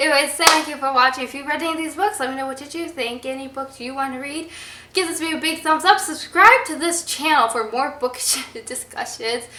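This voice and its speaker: Against noticeable background noise, a woman with a high pitch uses a raised, projected voice at a fairly quick pace, with ordinary pitch variation and big swings in loudness. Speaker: book vlogger. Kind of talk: casual vlog talk. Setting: public place with passers-by. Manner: animated.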